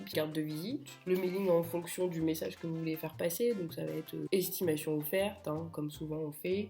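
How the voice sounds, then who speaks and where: With music in the background, a woman speaks at a moderate pace in a fairly low pitch, using ordinary pitch variation. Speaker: real estate agent. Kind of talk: casual talk to camera. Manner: humorous.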